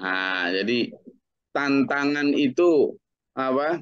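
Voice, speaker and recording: A man is speaking. The background is quiet. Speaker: Islamic teacher. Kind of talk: religious study lecture. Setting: group study session. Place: home room. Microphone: webcam.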